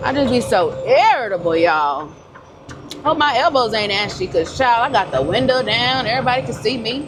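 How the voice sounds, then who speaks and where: A loud, high-pitched woman's voice at a fairly quick pace, with very wide pitch swings, audible room echo and noticeable background noise. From Georgia, US South. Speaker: truck driver vlogger. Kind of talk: casual vlog talk to camera. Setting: in a truck cab.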